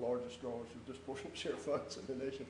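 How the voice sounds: A man speaks at a medium pitch with a dark, mellow tone. The intonation stays fairly even, and room echo is audible.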